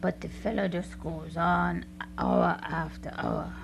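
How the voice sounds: A woman in a put-on character voice speaks slowly at fairly low pitch, with vocal fry and very wide pitch swings.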